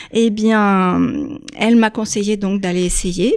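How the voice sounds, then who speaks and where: A woman speaks fairly slowly in a fairly high voice with ordinary pitch variation. The recording is very clean, with a silent background. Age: 60s. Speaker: airline pilot and yoga author. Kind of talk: radio interview.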